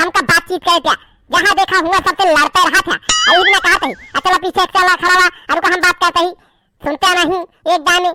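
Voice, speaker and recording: A put-on character voice at an extremely high pitch and a fairly quick pace. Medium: comedy sketch. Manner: pushy, bargaining.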